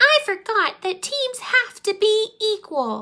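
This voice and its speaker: A woman uses a put-on character voice that is squeaky and extremely high. She speaks at a fairly slow pace with lively intonation. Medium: read story.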